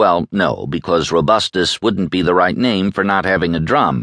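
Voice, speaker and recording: A man's very deep, low pitch with vocal fry, at a moderate pace, in a dry, close sound with no echo. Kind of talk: audiobook narration of a magazine feature. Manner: measured, polished and formal, steady literary delivery.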